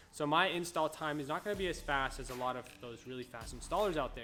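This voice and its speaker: Over music in the background, a man talks at a very fast pace with a fairly high pitch and ordinary pitch variation. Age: 20s. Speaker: window tinting business owner. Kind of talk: tutorial. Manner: low energy.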